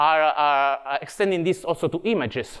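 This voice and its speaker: This is a man with an Italian accent. His pitch sits fairly high for a man. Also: quiet background. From Italy. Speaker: tech evangelist. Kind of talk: conference talk. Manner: halting.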